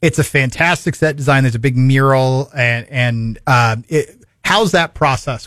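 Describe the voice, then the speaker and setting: In an ordinary speaking voice, the man talks at moderate speed, his medium pitch varying in an ordinary way. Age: 40s. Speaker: radio host. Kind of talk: radio interview. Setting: studio.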